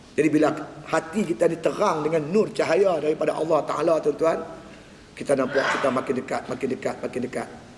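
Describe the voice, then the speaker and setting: A man talks at a very fast pace with a fairly high pitch and ordinary pitch variation. There is noticeable background noise. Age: 60s. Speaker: religious teacher. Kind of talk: religious lecture. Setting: mosque prayer hall.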